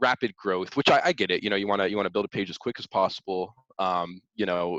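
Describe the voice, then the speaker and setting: Here a man has a normal speaking voice, fairly low in pitch and at a fairly quick pace. The background is quiet, and the sound is dry and close with no echo. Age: 20s. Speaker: stock investor and influencer. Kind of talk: interview.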